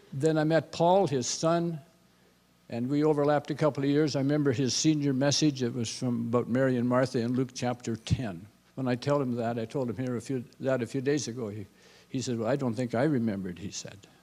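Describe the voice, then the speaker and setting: A man talks at a fairly quick pace in a medium pitch. His tone is dark and mellow, with ordinary pitch variation. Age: 70s. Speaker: former dean of students. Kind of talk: testimony.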